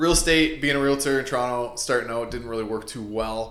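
Speaking with an Ontario accent, a man talks at a very fast pace in a medium pitch with an animated tone. Audible room echo surrounds him. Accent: Canadian (Ontario). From Canada, Windsor-Essex, Ontario. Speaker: real estate investor and realtor. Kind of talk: podcast interview. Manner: casual, animated.

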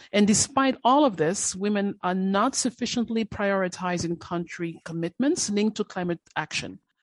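Against a quiet background, the speaker talks at a moderate pace with a non-native accent, hardly any pauses and ordinary pitch variation, in a dry, close sound with no echo. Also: woman, medium pitch for a woman. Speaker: gender and social inclusion specialist. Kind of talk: interview.

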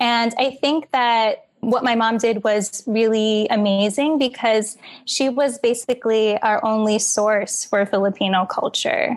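With an American accent and an ordinary speaking voice, a woman speaks at a fairly slow pace with hardly any pauses, fairly high pitch, fairly even intonation and very even loudness. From New York, Queens. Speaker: dancer and author. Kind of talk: interview.

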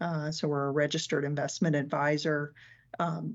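A woman's voice, very deep and low in pitch. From Arkansas. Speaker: chief financial officer. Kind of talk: interview.

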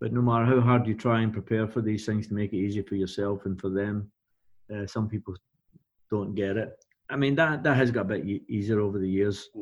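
A man with a Glaswegian accent speaks at a fairly quick pace. His pitch is fairly low, and his intonation stays fairly even. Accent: Glaswegian Scottish. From Scotland, Glasgow area. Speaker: music tour and artist manager. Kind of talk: casual interview.

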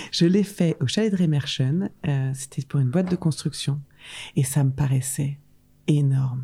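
A woman with a very deep, low pitch speaks at a fairly slow pace, her voice somewhat breathy. Her tone is dark and mellow, with ordinary pitch variation. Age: 30s. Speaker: event agency founder. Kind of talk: casual interview chat.

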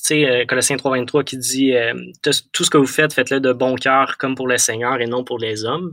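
A bright, sharp tone carries fairly even intonation. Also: man. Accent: Quebec. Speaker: Bible audiobook narrator. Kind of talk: interview. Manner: halting.

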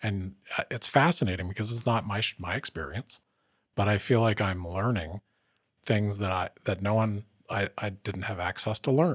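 On a very clean recording with a silent background and a dry, close sound with no echo, a man with an ordinary speaking voice talks at a moderate pace at a fairly low pitch with ordinary pitch variation. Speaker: podcast host. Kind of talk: interview, warm conversational.

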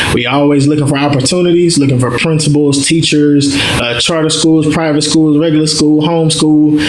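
A man talks at a fairly quick pace and a fairly high pitch, with hardly any pauses and very even loudness. His intonation is monotone and flat, and noticeable background noise is present. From North Louisiana, Mansfield. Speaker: nonprofit founder. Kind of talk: interview.

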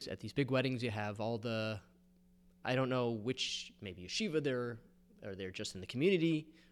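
A man at medium pitch with ordinary pitch variation, a moderate pace and an unremarkable speaking voice. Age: 40s. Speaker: photographer. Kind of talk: casual chat.

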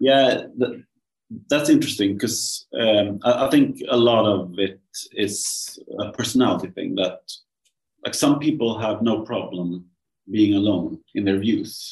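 In a Swedish accent, a man speaks somewhat breathily at medium pitch and a fairly slow pace. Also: ordinary pitch variation. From Sweden. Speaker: journalist and author. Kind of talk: interview conversation. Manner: halting.

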